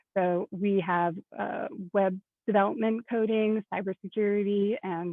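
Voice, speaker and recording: This is a woman with a medium pitch and ordinary pitch variation. She has an unremarkable speaking voice. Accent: American. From US Midwest (Indianapolis, Indiana). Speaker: product manager in tech education. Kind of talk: panel presentation.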